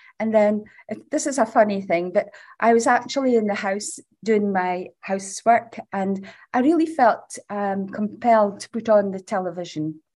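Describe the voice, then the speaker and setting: A woman's fairly high voice with lively intonation. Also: moderate pace. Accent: northeast Scottish. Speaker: charity founder. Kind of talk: interview. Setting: recording room at charity building.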